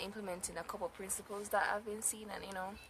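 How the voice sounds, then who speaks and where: A woman talks against noticeable background noise. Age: 20s. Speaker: mommy vlogger. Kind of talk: casual vlog talk to camera. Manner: casual, halting with fillers.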